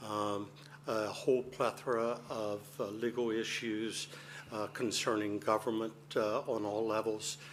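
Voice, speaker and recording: Speaking with a Delaware accent, a man keeps a medium pitch and a fairly slow pace. His delivery is monotone, with flat intonation. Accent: Sussex County, Delaware. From US, Delaware, Sussex County. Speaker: attorney. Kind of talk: formal remarks at council meeting. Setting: council chamber, microphone.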